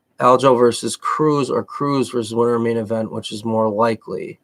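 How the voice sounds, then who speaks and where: Speaking in a Massachusetts accent, a man with a medium pitch keeps a moderate pace and ordinary pitch variation. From Massachusetts, outside Boston. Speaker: MMA coach and commentator. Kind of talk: live stream Q&A. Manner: casual, halting.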